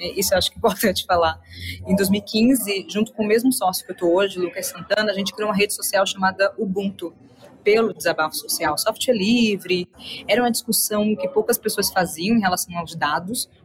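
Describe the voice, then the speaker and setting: A woman speaks at a fairly quick pace in a medium pitch, with ordinary pitch variation and noticeable background noise. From Salvador, Bahia, Brazil. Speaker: entrepreneur and innovation speaker. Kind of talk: interview.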